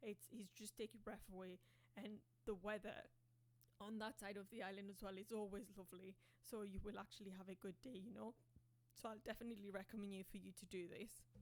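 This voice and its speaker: Using vocal fry, a woman speaks at a fairly quick pace and medium pitch with fairly even intonation. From Mauritius. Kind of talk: casual reaction commentary to camera.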